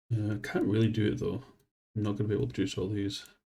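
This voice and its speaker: A man talks at a very fast clip with a dark, mellow tone and vocal fry. His pitch sits fairly low. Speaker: game streamer. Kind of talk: casual live gameplay commentary.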